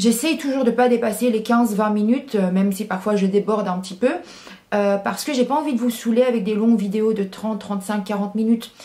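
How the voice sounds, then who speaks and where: Noticeable background noise sits behind a woman speaking at fairly high pitch. Her pace is fairly quick and her intonation fairly even. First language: English (speaking French). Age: 20s. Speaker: YouTuber. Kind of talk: Q&A vlog. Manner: hesitant, many fillers.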